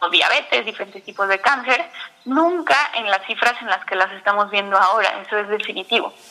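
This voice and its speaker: Background noise is noticeable as a woman talks at a fairly quick pace. Her pitch is medium and her intonation lively. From Mexico City. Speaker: nutritionist and diabetes educator. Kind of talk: interview. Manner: halting, repeats words.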